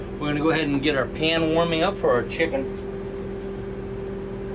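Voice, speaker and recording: A man is heard with noticeable background noise around him. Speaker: presenter. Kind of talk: tutorial. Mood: relaxed, light joking. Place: kitchen.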